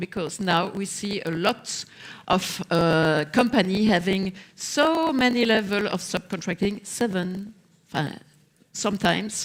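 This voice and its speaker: Against noticeable background noise, a woman with a medium pitch speaks at a fairly slow pace with ordinary pitch variation. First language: not English. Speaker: social partner representative. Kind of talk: panel discussion. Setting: stage with audience. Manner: halting, many fillers.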